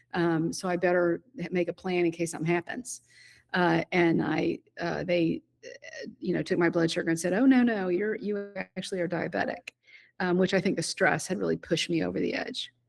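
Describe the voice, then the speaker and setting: Talking at a fairly quick pace, a woman uses a fairly low pitch with vocal fry and ordinary pitch variation. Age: 60s. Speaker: retired business founder. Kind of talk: interview conversation. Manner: halting, many fillers.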